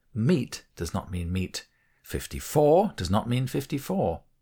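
A somewhat breathy male voice with an English accent, very wide pitch swings and a fairly slow pace, on a very clean recording with a silent background. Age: 60s. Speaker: author and narrator. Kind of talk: reading aloud. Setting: studio.

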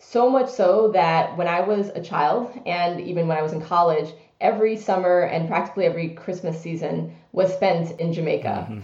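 With audible room echo, a woman speaks at a moderate pace with hardly any pauses, her fairly low voice showing ordinary pitch variation. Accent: American. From US, New York City (Brooklyn). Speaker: business executive. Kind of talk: interview.

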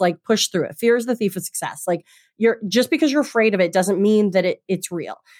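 The voice, in an American accent with ordinary pitch variation, comes through a very clean recording with a silent background and a dry, close sound with no echo. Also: woman. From Michigan, US (Traverse City). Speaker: maritime lawyer and content creator. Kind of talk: interview conversation.

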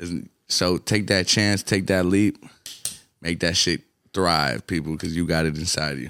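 Speaking at a fairly slow pace with long, frequent pauses, a man with an Atlanta accent has a very deep, low pitch, a bright, sharp tone and ordinary pitch variation, in a dry, close sound with no echo. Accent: Atlanta hip-hop American English. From US South, Atlanta (born in Colombia). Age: 20s. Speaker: rapper. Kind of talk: casual chat.

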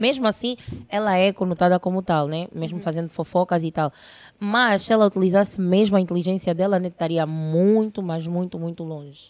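At a fairly quick pace, a woman talks in an animated tone at medium pitch with ordinary pitch variation, the sound dry and close with no echo. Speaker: internet personality. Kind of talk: casual interview chat.

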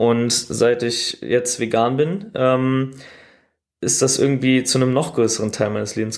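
Intonation stays fairly even. The recording is very clean, with a silent background. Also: man. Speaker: podcast host. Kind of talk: casual monologue. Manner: casual with many fillers.

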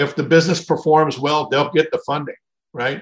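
Speaking at a moderate pace with an American accent, a man uses an ordinary speaking voice at a fairly high pitch, captured in a very clean recording with a silent background. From Minnesota. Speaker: franchise consultant. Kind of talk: interview.

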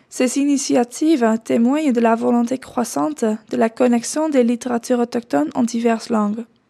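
A woman with a Dutch accent speaks at a moderate pace with hardly any pauses, a high pitch, ordinary pitch variation, a dark, mellow tone, very even loudness, and a dry, close sound with no echo. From Netherlands. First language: Dutch (speaking French). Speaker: doctoral researcher. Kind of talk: scripted narration.

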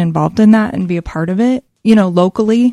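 A woman's dark, mellow voice, with ordinary pitch variation, sounds dry and close with no echo. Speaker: guest, church member.

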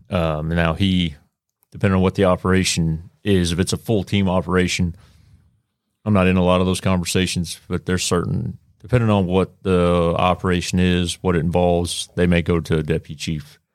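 A man with a Texan accent at a fairly quick pace, very deep and low in pitch, monotone and flat, at very even loudness, in a very clean recording with a silent background. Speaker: police sergeant, SWAT. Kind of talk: casual chat. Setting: studio.

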